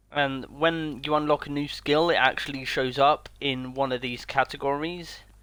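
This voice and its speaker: Fairly high in pitch, a man talks with a British accent and fairly even intonation. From Britain. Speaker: video game streamer. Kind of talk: live gameplay commentary. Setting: home streaming setup on console. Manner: casual, chatty.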